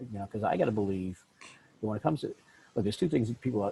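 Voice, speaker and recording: Here is a man with a medium-pitched voice and a dark, mellow tone. He sounds somewhat breathy. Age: 60s. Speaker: podcast host, business coach. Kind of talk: podcast interview. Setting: podcast.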